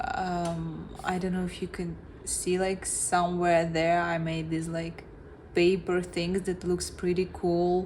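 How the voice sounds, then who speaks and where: A woman's somewhat breathy, fairly low-pitched voice in a monotone, flat intonation at a very slow pace, with audible room echo. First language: not English. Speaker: vlogger. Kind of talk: reflective monologue. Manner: halting.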